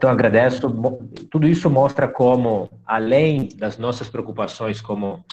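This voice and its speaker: A man talks with a Minas Gerais accent. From Minas Gerais, Brazil (Belo Horizonte). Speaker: university lecturer and live host. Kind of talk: live online talk host.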